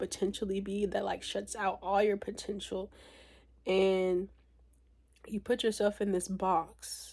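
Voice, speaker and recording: A woman speaks in a dark, mellow tone at a medium pitch, her intonation monotone and flat. The recording is very clean, with a silent background. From outside the country they live in. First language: not English. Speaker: lifestyle vlogger. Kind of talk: casual monologue. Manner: casual, filler-heavy.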